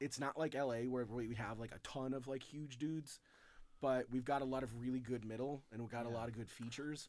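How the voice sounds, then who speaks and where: Here is a man with a plain, everyday voice and an American accent. He speaks at a fairly quick pace with medium pitch and fairly even intonation. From Chicago. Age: 40s. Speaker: comedian and author. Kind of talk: casual chat.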